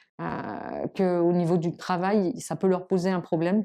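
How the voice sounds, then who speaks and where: The woman's voice has a fairly low pitch and a dark, mellow tone. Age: 60s. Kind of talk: interview testimony. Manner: halting, many fillers.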